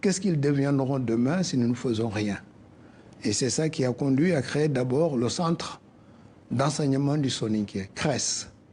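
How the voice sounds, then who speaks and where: Somewhat breathy, a man with a fairly high pitch talks at a fairly slow pace. He has a West African accent and ordinary pitch variation. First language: Soninke (speaking French). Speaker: cultural association president. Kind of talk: radio interview.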